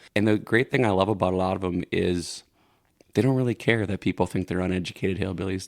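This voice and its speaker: In a very clean recording with a silent background, a man with an American accent speaks very fast at a fairly low pitch, his intonation fairly even. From Minnesota, St. Cloud. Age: 20s. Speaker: singer-songwriter. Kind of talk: podcast interview.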